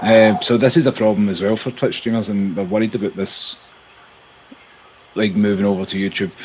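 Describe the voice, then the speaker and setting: A man mumbles at a fairly quick pace in a fairly low voice with fairly even intonation. Noticeable background noise is present. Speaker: Twitch streamer. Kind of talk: casual chat. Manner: mumbling; monotone.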